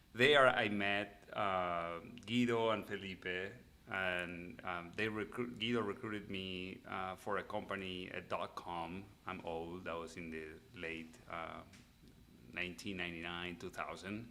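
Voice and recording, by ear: A man's low-pitched voice, bright and sharp in tone, with fairly even intonation at a fairly slow pace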